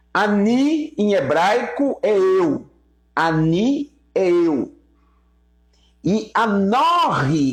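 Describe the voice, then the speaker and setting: This man speaks in a high voice. His pitch swings very widely. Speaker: Hebrew teacher. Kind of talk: live-stream Bible teaching. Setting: YouTube live stream.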